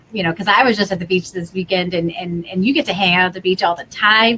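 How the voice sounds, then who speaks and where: In an American accent, a woman with a normal speaking voice talks at medium pitch with ordinary pitch variation. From US Midwest, Wisconsin. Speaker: online tutoring coach and channel host. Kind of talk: video call interview. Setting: video call.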